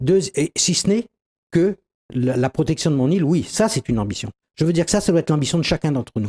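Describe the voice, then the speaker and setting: Dry and close with no echo, a man's fairly high voice has a dark, mellow tone, lively intonation and a very fast pace. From Réunion. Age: 60s. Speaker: doctor and local politician. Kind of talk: TV interview.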